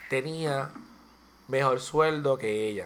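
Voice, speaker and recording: The pace of this man's speech is very slow. His voice sits fairly high. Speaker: podcast co-host. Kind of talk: casual chat.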